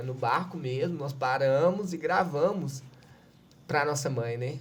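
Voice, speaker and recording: A somewhat breathy man speaks with a Minas Gerais accent at a fairly high pitch. His intonation is fairly even, and the room echo is audible. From Minas Gerais, Brazil. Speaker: civil defense coordinator. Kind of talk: podcast interview.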